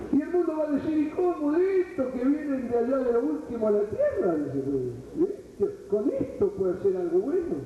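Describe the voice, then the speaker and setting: Over noticeable background noise and audible room echo, a man speaks in an extremely high pitch with very wide pitch swings and hardly any pauses. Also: moderate pace. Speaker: preacher. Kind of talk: sermon. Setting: church retreat.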